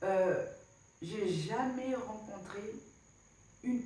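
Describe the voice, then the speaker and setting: The speaker has an African accent and ordinary pitch variation. The pace is very slow, with audible room echo. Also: woman. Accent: non-Senegalese African French. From DR Congo. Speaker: travel vlogger. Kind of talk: casual vlog talk. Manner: hesitant, many fillers; animated.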